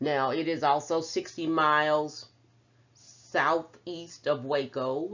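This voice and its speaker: A woman with a Texan accent speaks at a very deep, low pitch. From Central Texas, small town. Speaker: professor. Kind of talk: lecture.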